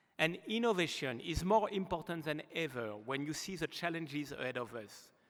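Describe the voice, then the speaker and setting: A man with a slight French accent, fairly high in pitch, with lively intonation at a moderate pace. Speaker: aerospace executive. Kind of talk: award acceptance speech. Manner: formal.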